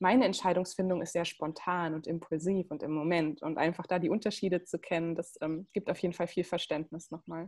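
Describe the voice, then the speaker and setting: With a fairly low pitch and fairly even intonation, a woman talks at a fairly quick pace with hardly any pauses in an unremarkable speaking voice. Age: 20s. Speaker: human design coach. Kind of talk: casual interview.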